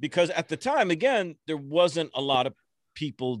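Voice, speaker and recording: A man with an American accent speaks with very wide pitch swings. The sound is dry and close with no echo, in a very clean recording with a silent background. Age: 50s. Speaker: motivational speaker and social media influencer. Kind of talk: podcast interview. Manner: animated.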